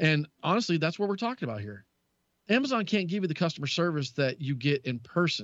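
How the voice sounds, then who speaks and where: Very fast speech comes from a man with a Southern US accent. His pitch is fairly high and swings very widely. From US South. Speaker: tech radio co-host. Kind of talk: casual chat about technology.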